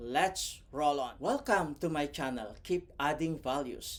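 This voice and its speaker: Very slowly, a man speaks at a fairly high pitch. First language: not English. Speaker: vlogger and overseas worker. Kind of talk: motivational tutorial. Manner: scripted, careful delivery.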